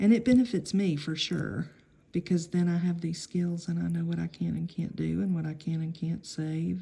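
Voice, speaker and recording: Quiet whispering from a woman at a fairly slow pace. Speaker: nail art hobbyist video maker. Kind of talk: tutorial demonstration. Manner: whispering, hushed; casual, hesitant.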